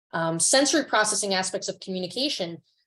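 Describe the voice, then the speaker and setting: This voice has an American accent. The background is quiet. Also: woman. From New York. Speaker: nonprofit founder and speaker. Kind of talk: webinar presentation. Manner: halting, many fillers.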